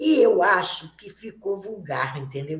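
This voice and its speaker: A woman is talking. The swings in her pitch are very wide. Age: 70s. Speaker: Candomblé priestess. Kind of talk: interview.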